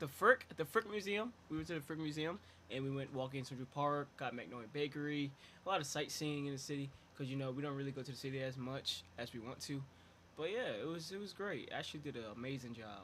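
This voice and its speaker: Speaking very fast, a man talks in a fairly high pitch with a bright, sharp tone. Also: ordinary pitch variation. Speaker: podcast co-host. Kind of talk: casual chat. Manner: halting, stuttering.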